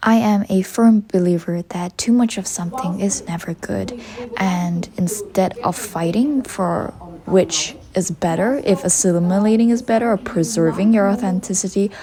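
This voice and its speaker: Against noticeable background noise, a woman with a strong Malaysian accent speaks at a medium pitch with ordinary pitch variation. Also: moderate pace. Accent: Malaysian, heavy. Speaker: university student vlogger. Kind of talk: reflective vlog narration.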